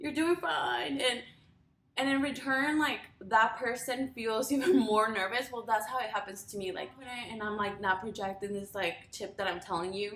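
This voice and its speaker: A woman with a Spanish accent speaks at a moderate pace amid noticeable background noise. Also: fairly high pitch for a woman, lively intonation. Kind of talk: casual talk to camera.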